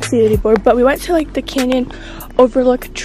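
A woman speaks at a very fast pace in a high voice with fairly even intonation. Faint music plays behind her, and the sound is dry with no echo. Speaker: vlogger. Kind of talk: casual vlog chat. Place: open country. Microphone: phone near.

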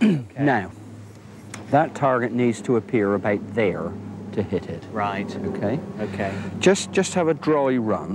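With noticeable background noise and a dry sound with no echo, a man speaks at a moderate pace with long, frequent pauses. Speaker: shooting coach. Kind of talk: tutorial. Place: open country.

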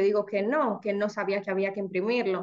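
A woman speaks over a quiet background. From Dominican Republic. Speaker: lawyer and new real estate licensee; lawyer. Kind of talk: testimony. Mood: reflective, earnest. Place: home room. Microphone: video call.

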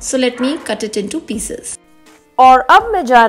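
A woman at a fairly slow pace, with faint music in the background. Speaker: home vlogger. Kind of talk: casual vlog chat. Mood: warm, cheerful.

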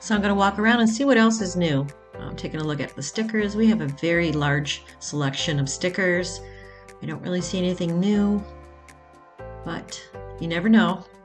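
Faint music plays behind a woman who talks at a fairly quick pace with ordinary pitch variation. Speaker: shopping vlogger. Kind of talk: casual vlog chat. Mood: enthusiastic, upbeat. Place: shop. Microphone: phone near.

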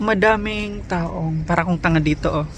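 Over noticeable noise in the background, the talking proceeds at a moderate speed. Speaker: vlogger. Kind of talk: casual vlog monologue. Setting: outdoors at a bus stop.

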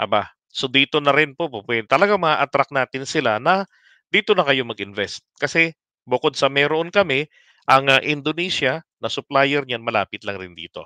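A man with a fairly high pitch and a bright, sharp tone talks at a moderate pace with lively intonation. The sound is dry with no echo, over a quiet background. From Philippines. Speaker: political commentary livestreamer. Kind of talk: live stream commentary. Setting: late-night live stream.

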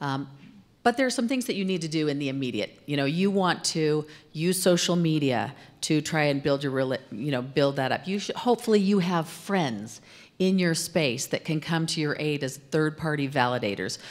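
With an American accent, this woman talks at a moderate pace in a very deep, low voice with lively intonation. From Arizona, US. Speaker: corporate communications executive, former TV news anchor; interview guest. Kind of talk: interview on stage. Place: studio. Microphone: handheld.

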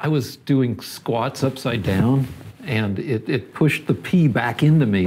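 Light background noise sits under a man speaking at a fairly slow pace with ordinary pitch variation. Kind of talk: casual comedic banter. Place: bar. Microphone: lapel.

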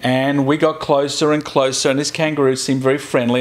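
A man speaks with an Australian accent at a fairly high pitch. His pace is fairly quick and his intonation fairly even. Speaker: video blogger. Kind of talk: casual chat. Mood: humorous, joking. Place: home room. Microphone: lapel.

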